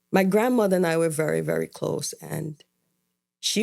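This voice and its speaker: At a moderate pace, a woman speaks with an Antiguan accent. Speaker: podcast co-host. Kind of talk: casual chat.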